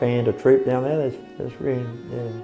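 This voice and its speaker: A man in an Australian accent at a fairly quick pace, with music in the background. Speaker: Navy veteran, nippers coach. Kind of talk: interview answer.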